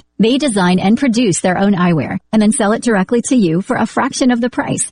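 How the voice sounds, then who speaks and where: Lively in intonation and somewhat breathy, a woman with an American accent speaks at a fairly high pitch. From US South. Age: 30s. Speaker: radio host. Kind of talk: read radio ad; radio interview.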